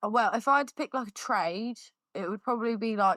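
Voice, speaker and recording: In a southern English accent, a woman with a bright, sharp tone speaks at a moderate pace with ordinary pitch variation, her sound dry and close with no echo on a very clean recording with a silent background. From Surrey, England. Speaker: fibrous plasterer. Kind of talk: casual chat. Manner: loud.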